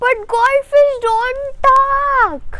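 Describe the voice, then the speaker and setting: A woman uses a put-on character voice that is squeaky and extremely high in pitch. Her intonation stays fairly even. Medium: read story. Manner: petulant, scornful.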